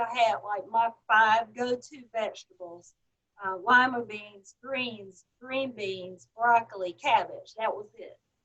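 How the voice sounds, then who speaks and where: A woman with a Southern US accent, fairly high in pitch and fairly slow in pace, with big swings in loudness. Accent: Southern drawl. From US South. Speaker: health supplement franchise owner. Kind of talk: interview testimony.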